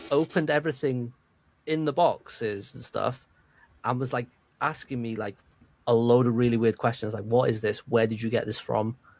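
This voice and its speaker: With a Welsh accent, a man of medium pitch talks at a moderate pace with ordinary pitch variation and long, frequent pauses, in a very clean recording with a silent background. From Wales. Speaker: podcast co-host. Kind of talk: casual chat.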